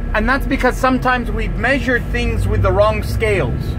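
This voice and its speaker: Noticeable background noise behind a man's voice. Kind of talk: sermon.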